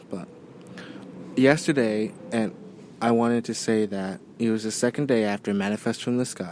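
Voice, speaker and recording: A man speaks at a moderate pace, his medium-pitched voice carrying a dark, mellow tone. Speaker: podcast host. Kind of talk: casual monologue. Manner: monotone.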